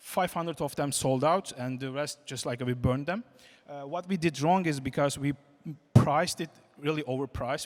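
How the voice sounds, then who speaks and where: This speaker has a non-native accent, talks at a moderate pace, and uses ordinary pitch variation. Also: man. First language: not English. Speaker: game company CEO, conference speaker. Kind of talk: conference talk. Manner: halting, many fillers.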